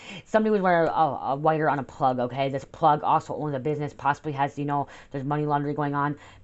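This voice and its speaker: A woman with an American accent talks with a very deep, low pitch and fairly even intonation. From New York State. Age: 30s. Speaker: tarot reader. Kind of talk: tarot reading monologue. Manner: fast; halting.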